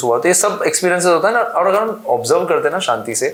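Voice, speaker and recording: In a Gujarati accent, a man with a high pitch is heard amid audible room echo and noticeable background noise. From Gujarat, India. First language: Gujarati (speaking Hindi). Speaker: actor. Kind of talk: interview.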